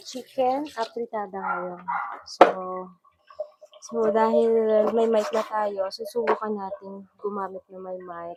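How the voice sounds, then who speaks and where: At a fairly slow pace, the voice keeps a fairly even intonation but shows big swings in loudness. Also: woman. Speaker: cooking vlogger. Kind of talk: cooking vlog demo. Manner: halting, many fillers.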